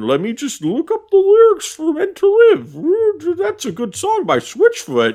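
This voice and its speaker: In a put-on character voice with extremely high pitch, the speaker goes at a fairly slow pace with hardly any pauses. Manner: gruff.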